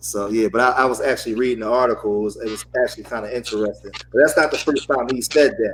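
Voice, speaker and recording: The talker goes at a very fast pace with hardly any pauses. Pitch variation is ordinary, and there is noticeable background noise. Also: man, medium pitch for a man. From Philadelphia, US. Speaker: panelist. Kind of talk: casual panel discussion.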